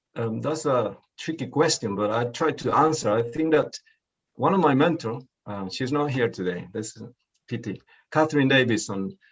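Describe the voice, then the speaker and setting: A man with a Spanish accent speaks at a moderate pace in a medium pitch, his intonation lively. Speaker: poet. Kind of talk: interview. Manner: halting.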